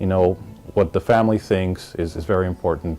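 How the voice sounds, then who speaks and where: Over music in the background, a man with a very deep, low pitch talks at a very fast pace with ordinary pitch variation. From Miami, Florida (born in Colombia). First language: Spanish. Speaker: business executive. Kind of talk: interview testimony. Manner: relaxed, conversational with many fillers.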